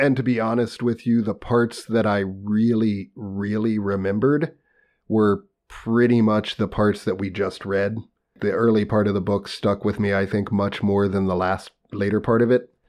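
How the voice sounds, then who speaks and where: Over a quiet background, a man with an unremarkable speaking voice talks at a moderate pace, fairly low in pitch, with fairly even intonation. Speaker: podcast co-host. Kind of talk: casual banter, reading aloud.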